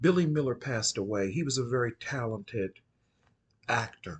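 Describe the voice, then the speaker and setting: Somewhat breathy, a man talks at a medium pitch with lively intonation. His pace is moderate, and the background is quiet. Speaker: occult channel host. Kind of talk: casual monologue. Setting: at home at night.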